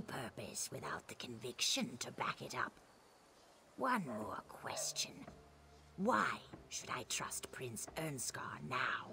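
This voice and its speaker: Someone whispers in a put-on character voice at a fairly slow pace. Clear background noise sits behind it. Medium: video game. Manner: measured, riddling.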